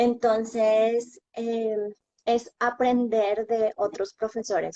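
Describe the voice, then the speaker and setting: This woman speaks at a fairly high pitch. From Colombia. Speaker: bilingual schoolteacher. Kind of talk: interview.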